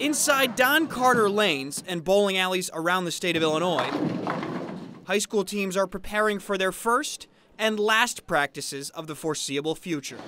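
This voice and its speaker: A man's raised, projected voice, high-pitched with lively intonation, at a moderate pace over noticeable background noise. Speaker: sports reporter. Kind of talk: TV news sports package voice-over.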